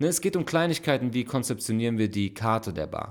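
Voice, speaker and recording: A man speaks in an unremarkable speaking voice at a fairly quick pace, his intonation lively. The recording is very clean, with a silent background. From Frankfurt, Germany. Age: 30s. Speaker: podcast co-host and bar owner. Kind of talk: casual chat. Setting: recording late at night at home.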